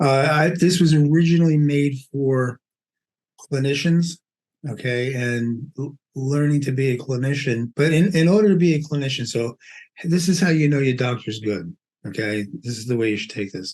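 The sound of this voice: With a Brooklyn accent, a man speaks at medium pitch and a moderate pace, using ordinary pitch variation and a slightly mellow tone. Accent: Brooklyn New York.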